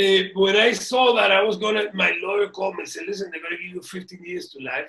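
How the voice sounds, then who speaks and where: A man speaks very fast in a raised, projected voice. His pitch is high and his intonation fairly even. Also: big swings in loudness. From Cuba, raised in US (New York). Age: 60s. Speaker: violinist. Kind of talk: interview. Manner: halting with repetitions.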